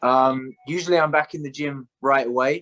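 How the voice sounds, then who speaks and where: A man with a British accent speaks at a moderate pace and medium pitch, his tone bright and sharp with ordinary pitch variation, in a dry, close sound with no echo. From England, London. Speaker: Muay Thai fighter. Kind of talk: interview. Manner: hesitant, many fillers.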